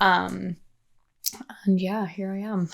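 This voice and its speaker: In an Irish accent, a woman speaks at a moderate pace. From Ireland. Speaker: PhD researcher. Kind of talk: casual interview chat.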